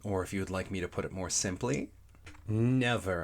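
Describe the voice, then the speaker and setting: A man's normal speaking voice at a moderate pace with ordinary pitch variation, on a very clean recording with a silent background. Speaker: audiobook narrator. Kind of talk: audiobook reading of a classic children's story.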